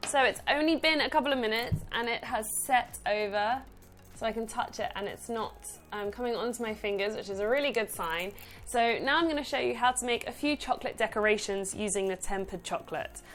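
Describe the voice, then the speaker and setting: Over music in the background, a woman with a fairly high pitch talks at a fairly quick pace with ordinary pitch variation. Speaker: cake decorator and baking tutor. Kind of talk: tutorial. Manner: fast.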